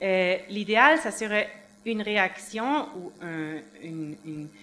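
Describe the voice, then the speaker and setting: The intonation is lively. The speaker has a non-native accent. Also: woman. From Switzerland. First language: not French (speaking French). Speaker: NGO advocate, witness; witness. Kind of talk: tribunal testimony. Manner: halting. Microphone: podium.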